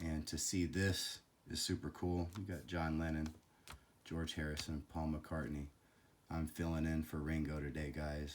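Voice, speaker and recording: This man has a very deep, low pitch. He speaks at a fairly slow pace in a flat monotone. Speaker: collectibles YouTuber. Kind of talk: casual video commentary.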